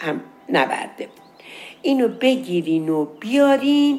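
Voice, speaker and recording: Very wide pitch swings mark a woman's speech, which unfolds at a very slow pace. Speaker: storyteller. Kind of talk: storytelling. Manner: casual.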